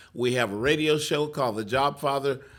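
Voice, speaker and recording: On a very clean recording with a silent background, a man with a strong Texas accent speaks at a medium pitch in a bright, sharp tone. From Texas (McGregor). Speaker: career coach and job-seeker radio host. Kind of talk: interview storytelling. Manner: hesitant, many filler words.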